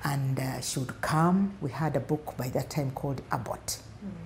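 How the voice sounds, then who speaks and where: A woman's very deep, low pitch with lively intonation at a moderate pace, under light background noise. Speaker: interviewee. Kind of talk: interview answer. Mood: warm, fond. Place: office. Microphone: lapel.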